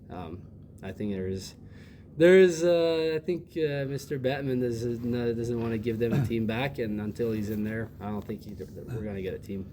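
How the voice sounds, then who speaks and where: Audible room echo surrounds a man who speaks at a moderate pace in a medium pitch with a dark, mellow tone. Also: lively intonation. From Quebec City, Canada. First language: French. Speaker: ice hockey player. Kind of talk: interview.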